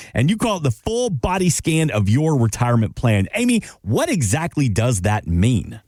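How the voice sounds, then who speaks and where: A man of medium pitch talks with a slight Southern US accent and very wide pitch swings. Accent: slight Southern twang. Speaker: podcast co-host. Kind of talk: podcast interview.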